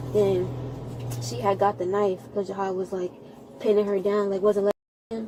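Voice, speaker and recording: At a fairly quick pace, a woman speaks with a medium pitch. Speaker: witness, sibling of victim. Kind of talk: police witness statement. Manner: fast; halting.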